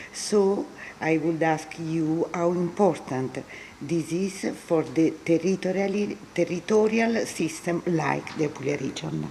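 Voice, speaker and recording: A woman with a fairly low pitch and ordinary pitch variation talks very slowly over noticeable background noise. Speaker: event moderator. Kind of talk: conference moderation.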